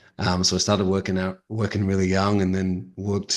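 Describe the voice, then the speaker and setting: Over a quiet background, a man with a slight Australian accent talks at a very fast pace, his very deep, low pitch held to fairly even intonation. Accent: slight Australian twang. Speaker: digital marketing agency owner. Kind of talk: podcast interview.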